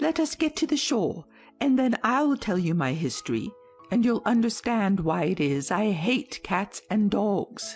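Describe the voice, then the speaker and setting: Over faint background music, a female-sounding voice does a put-on character voice, shaky and fairly high-pitched. The pace is moderate. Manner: pale with passion, shaky, intense.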